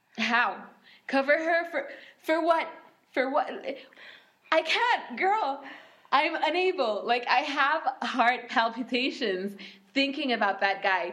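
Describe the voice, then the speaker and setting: Noticeable background noise sits behind a woman's high-pitched voice, which moves through very wide pitch swings. She talks at a very slow pace with long, frequent pauses. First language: Arabic. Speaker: podcast co-host. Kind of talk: casual chat with code-switching.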